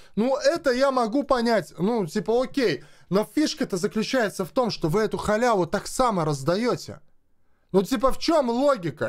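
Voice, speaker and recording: On a very clean recording with a silent background, a man speaks at a high pitch and a moderate pace in an animated tone with lively intonation. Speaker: gaming video blogger. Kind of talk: angry rant to camera. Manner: animated, agitated.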